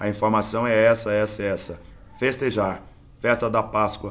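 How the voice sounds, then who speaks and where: At a moderate pace, a man talks with a fairly low pitch and monotone, flat intonation. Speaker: religious internet broadcaster. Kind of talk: preaching livestream monologue.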